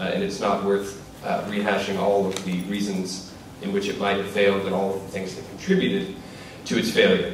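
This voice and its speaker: A man speaks with a monotone, flat intonation and a fairly low pitch in an American accent. Audible room echo and light background noise can be heard. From US South, North Carolina. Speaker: doctoral researcher presenting a paper; conference panelist. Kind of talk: academic conference talk. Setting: conference room with audience. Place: hall.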